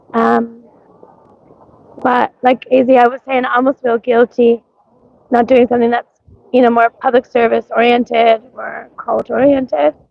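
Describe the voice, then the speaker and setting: A woman speaks in a high voice. Her intonation is monotone and flat. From Canada, Nova Scotia. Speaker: live streamer. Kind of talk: casual live stream chat. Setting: outdoors at a street parade. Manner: hesitant, many ums and likes.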